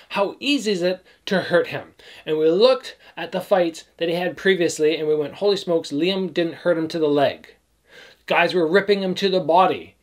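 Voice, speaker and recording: The man's voice is high-pitched, with ordinary pitch variation. He speaks at a moderate pace against a quiet background. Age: 30s. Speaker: kickboxer and youtuber. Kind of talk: fight breakdown commentary. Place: home room.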